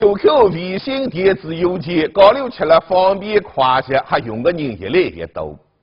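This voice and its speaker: In a Zhejiang accent, the speaker moves at a fairly slow pace with hardly any pauses, pitch swinging very widely and loudness rising and falling sharply. Light background noise sits underneath. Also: man, high pitch for a man. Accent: Taizhou dialect. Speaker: TV news presenter. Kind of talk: TV news presenting. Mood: warning, earnest. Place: studio.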